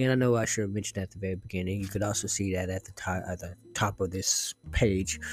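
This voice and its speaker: A man speaks at a very fast pace with hardly any pauses. His voice is fairly low and somewhat breathy, with fairly even intonation. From not Britain. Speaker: podcast film critic. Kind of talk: casual movie review monologue. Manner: halting, stumbling over words.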